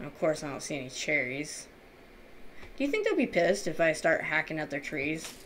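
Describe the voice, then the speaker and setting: An animated woman with a very deep, low pitch speaks at a fairly quick pace with ordinary pitch variation and big swings in loudness, amid noticeable background noise. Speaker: gaming YouTuber. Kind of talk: casual gameplay commentary. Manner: animated, chatty.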